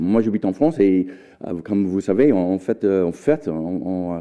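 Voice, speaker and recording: Speaking at a moderate pace, a man with an American accent uses a fairly low pitch. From United States. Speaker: history professor. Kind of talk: lecture. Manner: halting.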